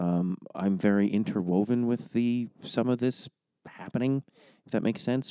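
A man speaks quietly in a dark, mellow tone with ordinary pitch variation, captured in a very clean recording with a silent background and a dry, close sound with no echo. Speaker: podcast host. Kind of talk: podcast intro monologue. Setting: home recording. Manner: hushed, quiet.

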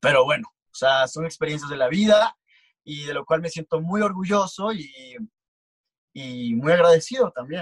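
A man with an unremarkable speaking voice talks at a moderate pace with a fairly high pitch and lively intonation. His loudness swings widely, and the sound is dry and close with no echo. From Mexico, Tabasco (Comalcalco). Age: 20s. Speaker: photographer and model. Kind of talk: casual interview chat.

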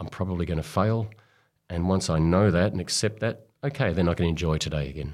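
A man with an Australian accent and a very deep, low pitch, very fast, with ordinary pitch variation, on a very clean recording with a silent background. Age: 50s. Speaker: sports doctor. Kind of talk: interview. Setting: studio. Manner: halting.

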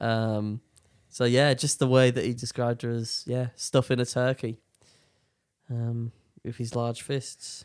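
A man talks at a medium pitch and fairly slow pace, with long, frequent pauses and monotone, flat intonation. The recording is very clean with a silent background, and the sound is dry and close with no echo. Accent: British. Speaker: podcast host. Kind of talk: casual chat.

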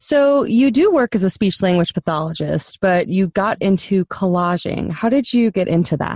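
A woman with an unremarkable speaking voice talks at a moderate pace with lively intonation, medium pitch and hardly any pauses. Her loudness is very even, and the sound is dry and close with no echo over a quiet background. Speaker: podcast host. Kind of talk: interview conversation with scripted intro.

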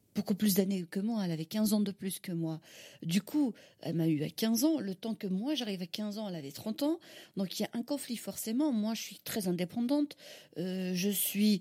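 In a dry, close sound with no echo, a woman speaks at a moderate pace, somewhat breathy, with a dark, mellow tone and lively intonation. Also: medium pitch for a woman. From Algeria, Algiers. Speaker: caterer and mother. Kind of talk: interview testimony. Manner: halting, with repetitions.

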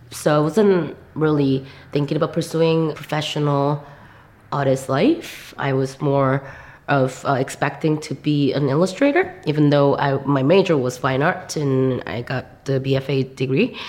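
A woman speaks in a Korean accent at a fairly slow pace. Her pitch is very deep and low. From South Korea. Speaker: visual artist. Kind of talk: interview. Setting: gallery.

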